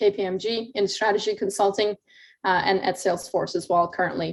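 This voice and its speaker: A woman's medium-pitched voice at a very fast pace against a quiet background. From Turkey (Istanbul). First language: Turkish. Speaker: mentor speaker, tech industry professional. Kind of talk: conference talk sharing career story. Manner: many fillers, um and uh.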